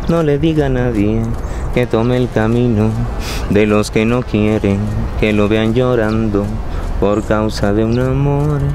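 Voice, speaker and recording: A man talks at a very slow pace in a fairly low pitch, with very wide pitch swings and long, frequent pauses. The sound is dry with no echo, and noticeable background noise is present. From Nariño, Colombia. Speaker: actor. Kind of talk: dramatic spoken monologue of song lyrics. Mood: melancholic, theatrical. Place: open country.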